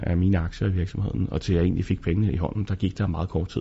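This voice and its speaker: A somewhat breathy man's voice with very deep, low pitch. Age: 40s. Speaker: business angel investor. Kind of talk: interview.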